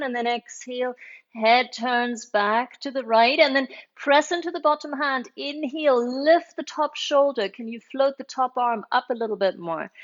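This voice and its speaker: A calm tone with ordinary pitch variation. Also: woman. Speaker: yoga teacher. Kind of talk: guided yoga class. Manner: slow.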